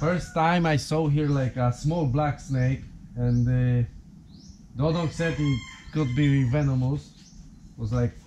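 Against noticeable background noise, a man's pitch varies in an ordinary way. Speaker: homeowner vlogger. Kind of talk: casual vlog chat. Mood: slightly tense, recounting. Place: garage. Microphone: phone near.

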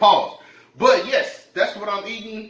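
A man talks with a high pitch, and audible room echo lingers around his voice. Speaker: mukbang vlogger. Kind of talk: casual vlog chat. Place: kitchen.

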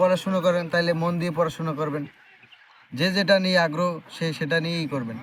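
Against noticeable background noise, a man speaks in a high voice with fairly even intonation. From Bangladesh, Barguna (Patharghata). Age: 20s. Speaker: migrant worker. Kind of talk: interview.

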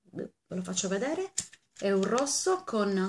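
At a very slow pace, a woman speaks. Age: 40s. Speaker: beauty vlogger. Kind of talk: casual vlog. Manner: animated. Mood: cheerful, birthday thanks. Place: home room. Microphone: webcam.

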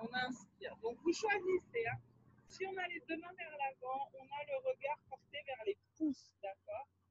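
A fairly slow voice with very wide pitch swings and big shifts in loudness, recorded dry with no echo over light background noise. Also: woman, high pitch for a woman. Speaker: fitness instructor. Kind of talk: exercise tutorial. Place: open country.

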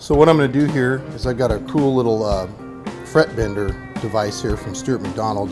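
Loud music plays behind a male speaker. He talks at a fairly quick pace. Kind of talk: tutorial. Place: garage.

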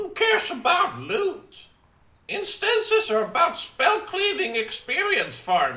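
In a put-on character voice, a man talks fairly slowly at an extremely high pitch. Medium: machinima. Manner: brisk, flat, dismissive.

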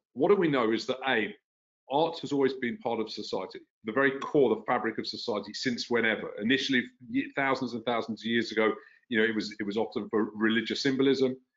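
With a London accent, the speaker talks at a very fast pace and ordinary pitch variation against a quiet background. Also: man. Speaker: tech company founder and CEO. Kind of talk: interview. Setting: video call. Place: home room. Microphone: video call.

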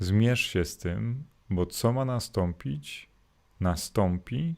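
A man talks with lively intonation. The background is silent, and the recording is very clean. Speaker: Jesuit priest. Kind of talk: morning gospel reflection livestream. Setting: live stream to YouTube and Facebook.

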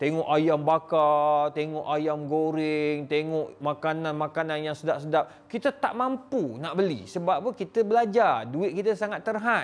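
Speaking at a fairly slow pace, a man with a fairly high pitch uses lively intonation. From Malaysia. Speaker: Islamic scholar, professor; professor. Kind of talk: address to audience. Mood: nostalgic, sorrowful. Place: studio. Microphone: lapel.

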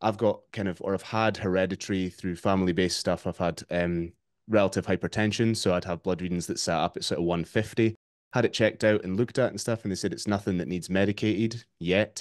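A man with an unremarkable speaking voice talks at a fairly quick pace and fairly low pitch with fairly even intonation, the sound dry with no echo over a quiet background. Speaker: remote podcast guest, fitness coach. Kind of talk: interview answer. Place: home room. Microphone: video call.

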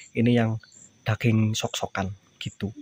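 Faint music in the background and a dry sound with no echo. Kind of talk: tutorial commentary. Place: workshop. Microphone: phone near.

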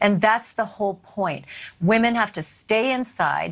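A woman speaks at a moderate pace. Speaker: television news host. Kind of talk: news interview. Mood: earnest, grave. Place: studio.

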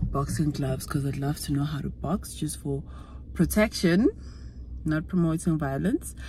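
Speech moves at a moderate pace over light background noise. The sound is dry with no echo. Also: woman. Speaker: vlogger. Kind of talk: casual vlog chat. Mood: upbeat, reflective. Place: car. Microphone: phone near.

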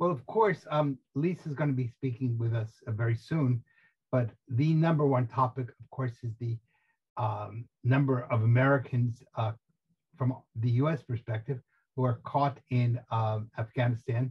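A man with a New Jersey accent talks at a moderate pace, somewhat breathy and with fairly even intonation. Behind him the background is quiet. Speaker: tourism expert co-host. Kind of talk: casual chat. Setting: video call. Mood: serious, somber. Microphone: video call.

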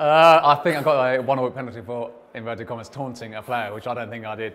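Talking at a very fast pace with a British accent, a man shows ordinary pitch variation and big swings in loudness. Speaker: poker player. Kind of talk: interview answer.

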